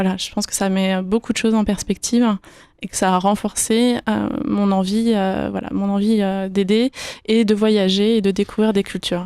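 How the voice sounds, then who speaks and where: A woman speaks at medium pitch in a dark, mellow tone. Her intonation is monotone and flat, at a moderate pace. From France, Yvelines (Paris region). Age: 20s. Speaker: financial consultant. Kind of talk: radio interview. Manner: hesitant, many fillers.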